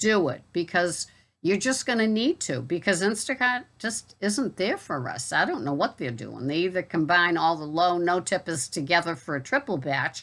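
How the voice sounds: With a Boston accent, a woman speaks at a moderate pace in a fairly bright tone, her fairly low pitch marked by lively intonation. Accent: Boston, non-rhotic.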